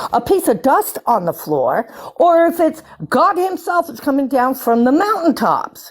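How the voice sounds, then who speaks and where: A woman speaks loudly at a high pitch with lively intonation. She keeps a fairly slow pace over noticeable background noise. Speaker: live stream participant. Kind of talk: heated argument on live stream.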